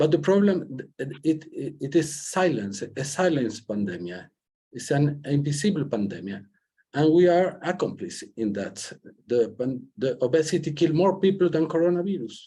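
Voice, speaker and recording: A man's fairly high, somewhat breathy, dark and mellow voice at a moderate pace, with very wide pitch swings. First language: Spanish. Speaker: senator. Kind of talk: panel remarks. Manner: halting.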